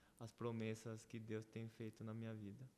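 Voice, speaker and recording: The speaker is a man with a medium pitch. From Brazil (Paraná) and Paraguay, Korean family. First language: Korean (speaking Portuguese). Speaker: church member guest. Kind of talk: casual interview, testimony. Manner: halting, with repetitions.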